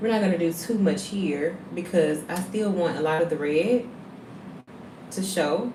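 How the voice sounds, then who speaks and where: With an American accent and a fairly low pitch, a woman speaks at a fairly slow pace with ordinary pitch variation and long, frequent pauses, amid audible room echo and noticeable background noise. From US South. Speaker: beauty livestreamer. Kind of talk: casual livestream makeup tutorial.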